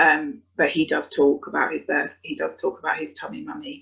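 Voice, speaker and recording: In a British accent, a woman talks at a moderate pace. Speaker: adoptive parent. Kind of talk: webinar talk. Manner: hesitant, many fillers.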